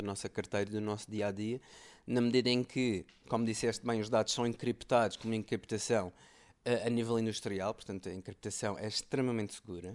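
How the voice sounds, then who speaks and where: This man talks at a fairly quick pace in medium pitch, with fairly even intonation and an ordinary speaking voice. The background is quiet. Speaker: tech podcast co-host. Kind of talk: casual chat.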